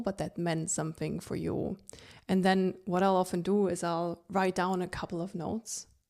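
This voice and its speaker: A woman speaks in a relaxed tone at medium pitch and a moderate pace, with a non-native accent and fairly even intonation. The recording is very clean, with a silent background. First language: not English. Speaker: podcast host. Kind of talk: solo podcast monologue. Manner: conversational, relaxed.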